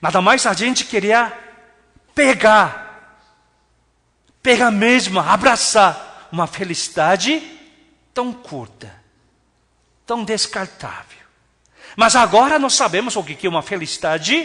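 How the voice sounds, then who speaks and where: Raising and projecting his high-pitched voice, a man speaks in an animated tone at a fairly slow pace, with very wide pitch swings and long, frequent pauses. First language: not Portuguese (speaking Portuguese). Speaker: pastor. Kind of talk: sermon.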